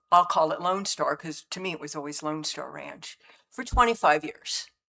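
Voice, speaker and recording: Her bright, sharp tone sits on a very deep, low pitch. The woman keeps a moderate pace. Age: 70s. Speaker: public commenter at county meeting. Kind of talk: public comment. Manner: halting.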